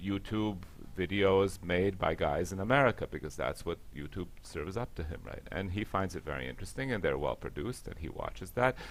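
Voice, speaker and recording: A man with very deep, low pitch and vocal fry speaks at a fairly quick pace. His intonation is lively. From US, Latvian diaspora family. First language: Latvian. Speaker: panelist. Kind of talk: panel discussion.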